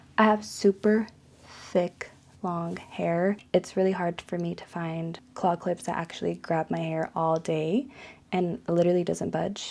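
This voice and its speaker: Soft-spoken and fairly low in pitch, a woman talks at a fairly slow pace with fairly even intonation. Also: very clean recording, silent background. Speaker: lifestyle youtuber. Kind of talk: monthly favorites review. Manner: casual.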